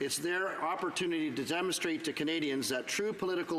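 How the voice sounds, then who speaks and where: A man speaks with a high pitch. Noticeable background noise runs under his voice. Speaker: Member of Parliament giving a speech in the House of Commons. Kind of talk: parliamentary floor speech / debate.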